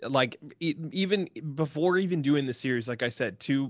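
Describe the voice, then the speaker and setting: A man speaks with a Midwestern American accent over a quiet background. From Ohio, Columbus. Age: 30s. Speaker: YouTuber, video game content creator. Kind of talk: casual interview chat.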